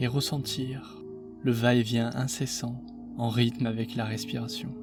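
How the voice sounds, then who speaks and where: Over music in the background, a soft-spoken man with a gentle tone and medium pitch talks at a fairly slow pace with ordinary pitch variation. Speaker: meditation guide. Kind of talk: guided meditation. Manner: soft, gentle.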